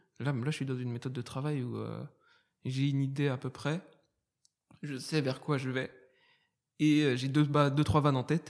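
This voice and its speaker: At a moderate pace with long, frequent pauses, a man speaks at a fairly high pitch in monotone, flat intonation. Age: 20s. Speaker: stand-up comedian. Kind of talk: casual chat.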